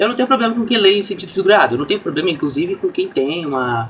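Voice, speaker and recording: A man talks very fast at a high pitch. His pitch swings very widely over noticeable background noise. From Brazil, interior of São Paulo (São Carlos). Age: 20s. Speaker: streamer. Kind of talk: casual chat. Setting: live stream.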